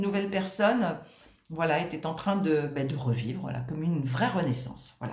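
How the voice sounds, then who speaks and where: With lively intonation and vocal fry, a woman talks in a room with audible echo. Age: 60s. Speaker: client giving a testimonial. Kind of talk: testimony. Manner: halting, many hesitations.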